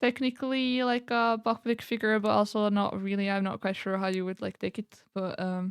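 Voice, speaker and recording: Recorded very cleanly against a silent background, a woman with a slight non-native accent speaks at a medium pitch with fairly even intonation. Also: moderate pace. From Europe. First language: not English. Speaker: streamer. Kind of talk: casual chat. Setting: live stream.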